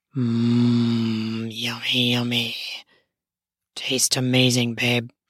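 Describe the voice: A woman's put-on character voice, breathy and raspy with a slightly husky edge, extremely low in pitch, very slow and monotone. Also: dry, close sound with no echo.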